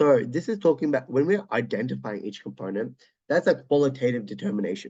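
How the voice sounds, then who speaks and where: Very fast speech from a man with an Australian accent, a dark, mellow tone and vocal fry. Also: medium pitch for a man, lively intonation. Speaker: chemistry tutor. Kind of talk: exam walkthrough tutorial. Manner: hesitant, casual, many filler words.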